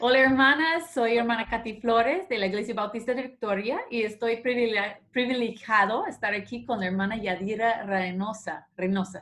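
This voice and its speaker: A woman with an American accent speaks at a fairly high pitch and moderate pace, with ordinary pitch variation and hardly any pauses, over noticeable background noise. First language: English (speaking Spanish). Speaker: church women's ministry host. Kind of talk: casual interview.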